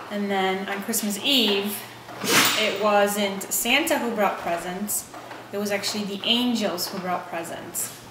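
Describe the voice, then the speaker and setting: A woman at medium pitch, fairly slow and fairly even in intonation, with noticeable background noise and audible room echo. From Poland, moved to US at age eleven. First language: Polish. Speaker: interviewee, Polish immigrant. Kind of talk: interview.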